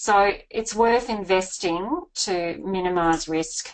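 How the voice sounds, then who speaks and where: A woman's fairly low voice with an Australian accent and ordinary pitch variation. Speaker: buyer's agent and property author. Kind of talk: webinar presentation. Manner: fast.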